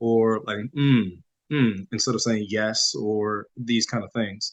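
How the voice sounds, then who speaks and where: A man mumbling at a very slow pace, his intonation fairly even. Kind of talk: podcast interview. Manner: mumbling, low projection.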